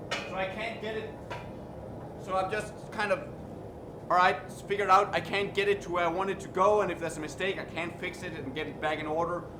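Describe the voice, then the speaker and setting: Background noise is noticeable and the room echo is audible. The speaker talks fairly quickly with a slight Danish accent, pausing long and often. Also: man, high pitch for a man, fairly even intonation. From Denmark. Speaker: blacksmith streamer. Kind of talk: live stream tutorial. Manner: halting.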